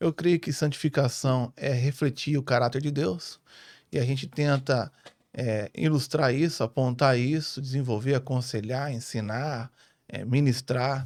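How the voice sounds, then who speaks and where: The speech comes at a fairly slow pace with fairly even intonation. The recording is very clean, with a silent background. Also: man, medium pitch for a man. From born in Rio, ministry years in northern Paraná, Brazil. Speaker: family pastor. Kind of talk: podcast interview.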